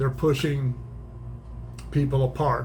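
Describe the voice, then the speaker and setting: A man at a fairly slow pace, with audible room echo. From small-town US. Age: 60s. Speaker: YouTube commentator. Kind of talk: opinion monologue. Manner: casual, halting with repetitions.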